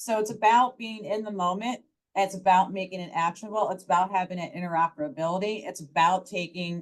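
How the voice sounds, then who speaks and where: A woman speaks loudly at a medium pitch. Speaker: startup founder and HR expert. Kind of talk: panel discussion. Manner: animated.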